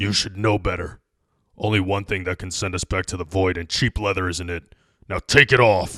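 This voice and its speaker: A put-on character voice comes out raspy, guttural and growling. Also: man, very deep, low pitch for a man, moderate pace, very clean recording, silent background. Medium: read story. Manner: commanding.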